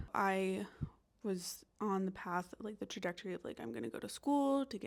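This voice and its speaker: A woman speaks in a plain, everyday voice with an American accent, her pitch medium. She keeps a moderate pace, and the recording is very clean with a silent background. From US South, North Carolina. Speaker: vlogger, expat teacher. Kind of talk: casual vlog monologue.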